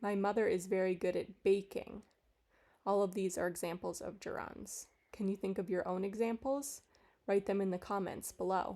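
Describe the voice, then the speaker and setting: In a very clean recording with a silent background, a woman with an American accent speaks at a moderate pace in a dark, mellow tone, medium pitch and fairly even intonation. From United States. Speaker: English teacher. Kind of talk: tutorial. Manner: clear and measured.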